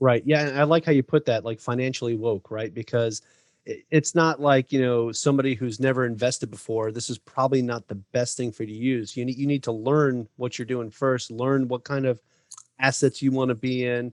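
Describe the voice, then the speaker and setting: A man with an unremarkable speaking voice, medium pitch and fairly even intonation at a fairly quick pace, with a dry, close sound and no echo. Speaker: podcast host. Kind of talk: podcast interview talk.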